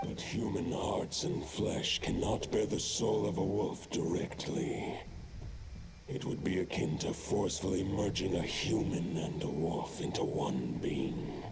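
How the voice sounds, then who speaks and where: Whispering in a put-on character voice with a solemn tone, a man speaks at a fairly slow pace over loud background noise with a clear echo. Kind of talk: epic fantasy game dialogue. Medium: video game. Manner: solemn, formal, archaic phrasing.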